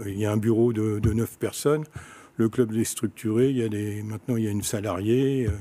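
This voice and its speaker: A man's fairly low, dark, mellow voice with ordinary pitch variation at a moderate pace, in a very clean recording with a silent background. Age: 70s. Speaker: sports club president. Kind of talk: interview.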